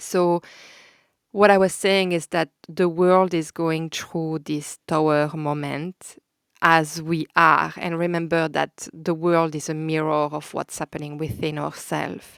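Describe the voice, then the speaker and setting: A woman with a Belgian French accent talks at a fairly slow pace and very deep, low pitch in a monotone, flat intonation, the sound dry and close with no echo. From Belgium. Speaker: podcast host, holistic counsellor. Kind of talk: spiritual podcast monologue. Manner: casual with hesitations and filler; warm, gentle.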